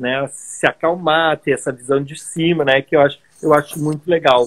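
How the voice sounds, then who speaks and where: This man's voice sits fairly high, with flat, monotone intonation at a moderate pace. The sound is dry and close, with no echo. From southern Brazil, Caxias do Sul (Rio Grande do Sul). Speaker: world traveler and travel entrepreneur. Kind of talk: casual interview conversation. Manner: sped up for time.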